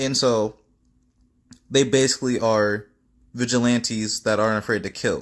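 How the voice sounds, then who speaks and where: Medium in pitch, a man speaks at a moderate pace. His intonation is monotone and flat, with long, frequent pauses. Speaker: fan fiction storyteller. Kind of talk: casual storytelling monologue.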